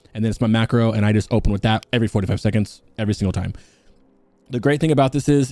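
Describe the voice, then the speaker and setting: This man talks at a very fast pace in a medium pitch with ordinary pitch variation. His tone is dark and mellow. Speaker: gaming guide youtuber. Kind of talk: unscripted gameplay tutorial. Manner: mumbling.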